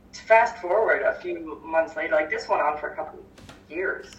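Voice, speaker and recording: With a Canadian accent, a woman speaks at medium pitch and a moderate pace. Pitch variation is ordinary, and there is noticeable background noise. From Victoria, British Columbia, Canada. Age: 30s. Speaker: holistic healer and mindset coach. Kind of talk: casual interview.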